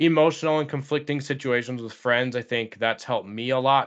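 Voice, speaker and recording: A man's plain, everyday voice, medium in pitch, at a fairly quick pace with fairly even intonation. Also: quiet background. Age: 30s. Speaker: podcast host and elementary school teacher. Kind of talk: casual interview chat.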